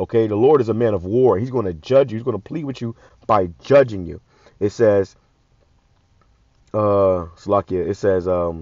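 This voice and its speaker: A man with a fairly low pitch and ordinary pitch variation speaks with long, frequent pauses. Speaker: religious commentator. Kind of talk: scripture commentary. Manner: fast.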